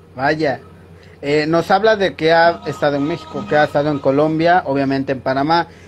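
Over light background noise, a plain, everyday voice moves at a moderate pace with ordinary pitch variation. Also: man, fairly high pitch for a man. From Mexico, Tabasco (southeast). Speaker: interviewer. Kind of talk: interview. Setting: video call. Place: home room. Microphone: video call.

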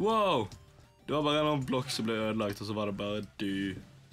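Speaking at a fairly quick pace with a western Norwegian accent, a man with a medium pitch and ordinary pitch variation talks over music in the background. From Western Norway. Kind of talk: casual gaming commentary.

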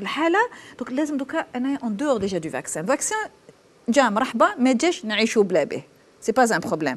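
A woman speaks fairly slowly in a high pitch. Her pitch swings very widely and her loudness rises and falls sharply. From Algeria. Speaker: thoracic surgeon; guest. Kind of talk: TV panel discussion. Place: studio. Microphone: lapel.

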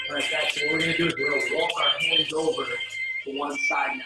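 Spoken at a very fast pace with audible room echo and music playing in the background. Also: man. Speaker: fitness instructor. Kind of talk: tutorial. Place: garage. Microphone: camera far.

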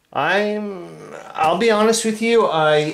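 A man talks with lively intonation, with light background noise and audible room echo. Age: 50s. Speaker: hobbyist video creator. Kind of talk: casual solo vlog. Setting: at home, upstairs room. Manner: animated, frequent laughter. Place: home room.

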